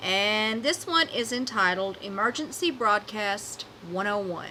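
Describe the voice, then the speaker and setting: Noticeable background noise sits behind the recording. A woman speaks with an American accent and lively intonation. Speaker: podcast host. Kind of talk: horror story reading.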